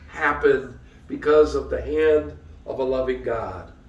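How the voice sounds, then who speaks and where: Room echo and noticeable background noise surround a man speaking in an American accent. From US Midwest, Detroit area, Michigan. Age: 60s. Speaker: pastor. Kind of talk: sermon. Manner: conversational, with frequent fillers.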